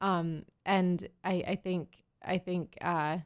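A woman with an American accent speaks at a fairly low pitch with fairly even intonation. The recording is very clean, with a silent background. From Pennsylvania. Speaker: actor. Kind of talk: casual chat. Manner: hesitant, many fillers.

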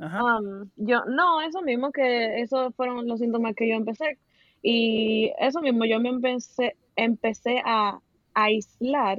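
This speaker talks at a fairly slow pace with a Dominican accent. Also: woman, fairly high pitch for a woman, ordinary pitch variation. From Dominican Republic. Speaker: podcast guest sharing experience of depression. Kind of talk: casual chat.

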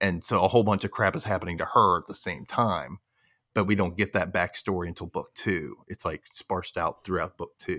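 On a very clean recording with a silent background, a man with a Southern US accent talks at a fairly quick pace in a dry, close sound with no echo. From Memphis, Tennessee. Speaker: podcast host. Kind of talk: casual panel chat.

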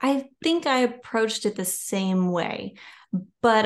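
Against a quiet background, a woman talks with a Louisiana accent. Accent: Louisiana Southern US. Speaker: children's and nonfiction author. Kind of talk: casual interview chat.

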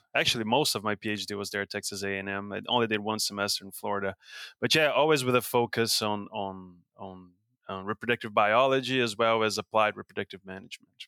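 A man with a Brazilian accent, very fast, fairly low-pitched, with a bright, sharp tone, fairly even intonation and a dry, close sound with no echo. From Brazil, São Paulo state. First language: Portuguese. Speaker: professor and beef cattle researcher. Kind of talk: interview. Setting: video call.

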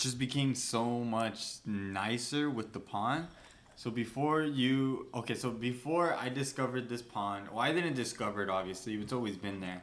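A man with an ordinary speaking voice talks at a medium pitch, using ordinary pitch variation. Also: moderate pace. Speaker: podcast host. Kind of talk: casual chat. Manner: casual, swears a lot.

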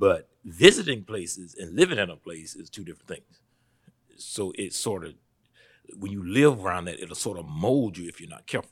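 On a very clean recording with a silent background, a man with a Southern US accent speaks at a moderate pace in a fairly low voice, his intonation lively and his loudness swinging widely. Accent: Southern US (Georgia). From US South, Statesboro, Georgia. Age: 40s. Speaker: pastor. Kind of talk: interview conversation.

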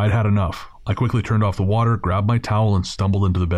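The speaker reads aloud in a natural voice with fairly even intonation.

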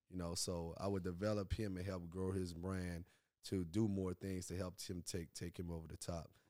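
A man speaks in a New Orleans accent with a very deep, low pitch and a dark, mellow tone. His intonation is monotone and flat, and the pace is moderate. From New Orleans, Louisiana. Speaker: music manager. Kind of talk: casual interview.

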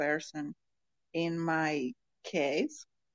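Recorded with a dry, close sound and no echo, a woman speaks in a Colombian accent. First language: Spanish. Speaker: podcast listener and participant. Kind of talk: casual group chat. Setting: online audio room. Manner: halting, hesitant English.

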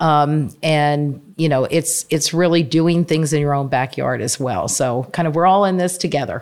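The recording is very clean with a silent background, and a woman talks at a moderate pace with hardly any pauses. Her pitch is very deep and low, with ordinary variation. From Pennsylvania, Bucks County. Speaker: nonprofit land trust CEO. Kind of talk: interview.

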